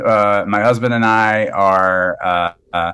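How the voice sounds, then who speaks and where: A man speaks with an American accent. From US South, South Carolina (Dillon County). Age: 50s. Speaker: doctor. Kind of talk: casual interview. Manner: hesitant, many fillers and repeats.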